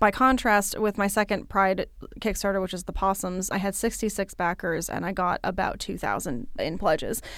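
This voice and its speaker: Over a silent background in a very clean recording, a woman with vocal fry speaks at medium pitch and a moderate pace, her pitch varying in an ordinary way. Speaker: podcast host and independent artist. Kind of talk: casual solo podcast monologue. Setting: recording studio at local library. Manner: animated.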